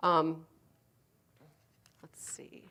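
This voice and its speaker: In a very clean recording with a silent background, a woman speaks at a very deep, low pitch with vocal fry. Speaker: healthcare provider giving a training talk. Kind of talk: presentation to a live audience. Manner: fast.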